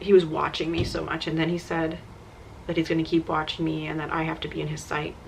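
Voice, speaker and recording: A woman speaks at a fairly quick pace in a fairly low pitch with monotone, flat intonation amid noticeable background noise. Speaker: vlogger. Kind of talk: personal testimony. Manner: casual, filler-heavy.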